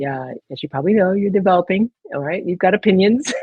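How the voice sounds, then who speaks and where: This woman has an ordinary speaking voice, fairly low in pitch, with ordinary pitch variation and an American accent. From military child, grew up in England, Spain and the US. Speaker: retired navy officer and photographer. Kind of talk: interview.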